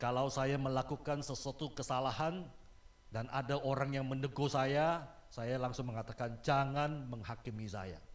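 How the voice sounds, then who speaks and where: A man speaks with audible room echo. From Malaysia. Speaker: guest preacher. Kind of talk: sermon.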